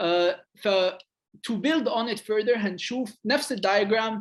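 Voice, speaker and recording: Speaking with ordinary pitch variation, the man has a high-pitched voice. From Egypt. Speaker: game designer. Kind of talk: lecture.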